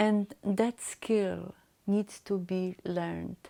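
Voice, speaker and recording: A dark, mellow tone with a non-native accent, in a very clean recording over a silent background. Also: woman. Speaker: mentor and motivational speaker. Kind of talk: solo talk to camera. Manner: halting, with hesitations.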